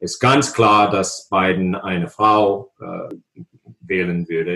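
A man talks very slowly with an English accent. His pitch sits fairly low. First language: English (speaking German). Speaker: political science professor. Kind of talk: interview. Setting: video call. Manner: halting, many hesitations.

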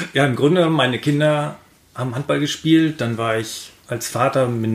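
A man's normal speaking voice, medium in pitch with ordinary pitch variation. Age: 50s. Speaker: handball referee. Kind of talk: casual chat.

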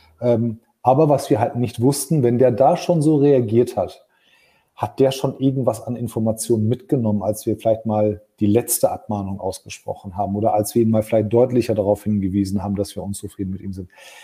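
Somewhat breathy man at a medium pitch, dark, mellow tone, fairly quick pace. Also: ordinary pitch variation. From Germany. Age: 40s. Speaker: podcast host, business leader. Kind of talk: casual chat. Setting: LinkedIn live stream.

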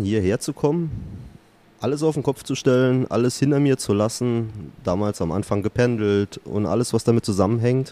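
At a moderate pace, a man with a slight Saarland accent speaks in a dark, mellow tone at medium pitch with ordinary pitch variation, the sound dry and close with no echo. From Saarland, Germany. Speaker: podcast listener, company employee. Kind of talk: casual chat. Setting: workshop.

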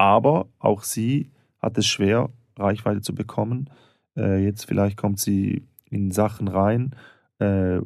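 The recording is very clean, with a silent background. A man speaks with a fairly low pitch and fairly even intonation. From St. Gallen, Switzerland. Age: 30s. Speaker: stand-up comedian and actor. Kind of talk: casual banter, comedy podcast.

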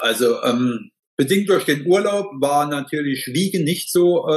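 Using an ordinary speaking voice, a man talks at a fairly high pitch and a fairly slow pace with lively intonation. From Saarland, Germany. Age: 50s. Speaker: master tradesman, heating and plumbing; client. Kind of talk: interview testimony.

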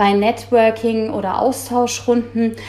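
A fairly high-pitched woman talks at a fairly slow pace, with noticeable background noise behind her. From Germany, Frankfurt am Main (Hesse). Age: 30s. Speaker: insurance sales trainer manager. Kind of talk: interview.

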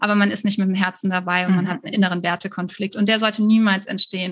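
A woman's somewhat breathy, medium-pitched voice keeps a fairly even intonation. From Germany, Cologne. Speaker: virtual assistance business coach. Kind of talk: interview.

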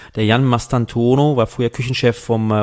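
A man at medium pitch and moderate pace. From western Germany (Rheingau and Mosel). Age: 30s. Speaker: wine merchant and wine magazine publisher. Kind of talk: casual interview conversation. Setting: studio. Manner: hesitant, many fillers.

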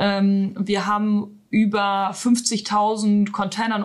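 A woman talks at a medium pitch in a somewhat breathy voice. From northern Germany, Emsland. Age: 30s. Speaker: IT manager. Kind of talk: interview.

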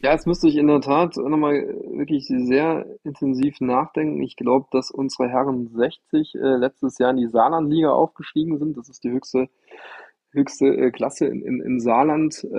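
In a normal speaking voice, a man with a fairly high pitch talks at a moderate pace with fairly even intonation. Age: 40s. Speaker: amateur tennis player and club member. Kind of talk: casual interview.

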